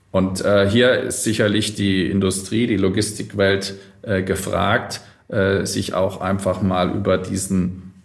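In a room with audible echo, a man with a fairly low pitch speaks at a very slow pace in a monotone, flat intonation. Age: 40s. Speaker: logistics company executive. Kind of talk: interview. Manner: formal.

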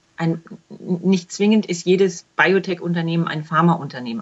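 At a fairly quick pace, a woman speaks with a fairly low pitch and ordinary pitch variation. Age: 40s. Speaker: self-employed clinical trial quality assurance consultant. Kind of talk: interview. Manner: repeats words often, halting.

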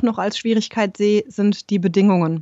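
An ordinary speaking voice moves at a fairly quick pace with fairly even intonation. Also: woman. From Germany, Rhein-Main area. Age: 30s. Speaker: yoga teacher and holistic coach. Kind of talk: interview.

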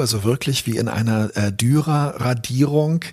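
A man talks at a very slow pace and medium pitch. His voice is somewhat breathy, with ordinary pitch variation. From Berlin, Germany. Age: 50s. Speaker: author and journalist. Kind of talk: personal reflection monologue. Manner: thoughtful with frequent fillers.

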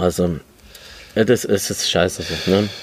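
The speaker is a man. His voice is very deep and low in pitch. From Germany, Lebanese family. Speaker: podcast host. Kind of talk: casual chat. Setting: outdoors on a balcony.

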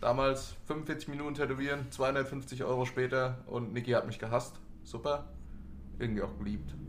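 A man at a moderate pace, with audible room echo. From Hanau, Hesse, Germany. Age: 20s. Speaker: tattoo artist. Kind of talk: casual chat.

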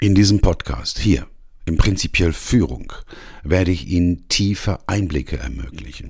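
With a very deep, low pitch, vocal fry and very wide pitch swings, a man speaks at a moderate pace. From Ruhr area, Germany. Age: 60s. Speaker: coach and podcast host. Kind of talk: scripted podcast intro monologue.

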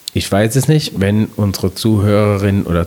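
There is noticeable background noise in this clip. A man speaks over it at a moderate pace. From Palatinate, Germany. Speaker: podcast host, communication trainer. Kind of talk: partly scripted podcast talk.

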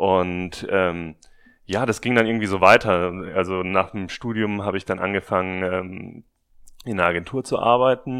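A man's very deep, low voice with fairly even intonation at a moderate pace, on a very clean recording with a silent background. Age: 30s. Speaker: podcaster and marketing manager. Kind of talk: interview. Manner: hesitant, many filler sounds.

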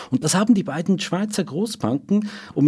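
A man speaks with vocal fry. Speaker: financial journalist. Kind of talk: interview.

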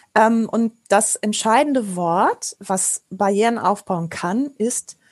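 Speaking at a very slow pace, a woman with a fairly high pitch comes through in a dry, close sound with no echo. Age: 40s. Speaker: improv actor and trainer. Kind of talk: interview.

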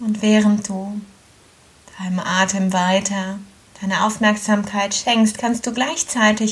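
A woman with a gentle, calm tone speaks at a very slow pace and medium pitch, monotone and flat in intonation, over noticeable background noise. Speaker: yoga teacher. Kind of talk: guided meditation. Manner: slow, calm, soothing; gentle, with long pauses.

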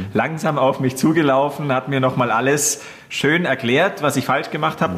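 With noticeable background noise behind him, a man with a fairly high pitch talks at a moderate pace. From Upper Bavaria (Gilching near Munich). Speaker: radio host. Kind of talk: casual chat.

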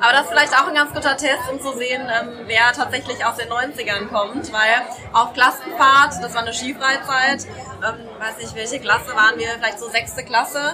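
A woman talks at a high pitch with hardly any pauses and big swings in loudness, with crowd noise in the background and audible room echo. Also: ordinary pitch variation, moderate pace. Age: 30s. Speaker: doctor. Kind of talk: casual chat. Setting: live show with audience.

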